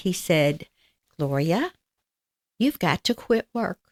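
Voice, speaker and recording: In a Southern US accent, a woman speaks at a very slow pace with a fairly low pitch and very wide pitch swings. The sound is dry and close, with no echo. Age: 80s+. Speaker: amputee patient. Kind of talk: interview.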